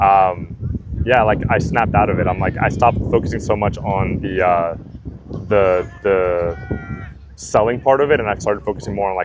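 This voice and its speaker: A man's fairly low voice at a moderate pace, ordinary pitch variation, and noticeable background noise. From Puerto Rico, raised in Florida. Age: 20s. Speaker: door-to-door sales manager. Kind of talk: interview. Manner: halting, many fillers.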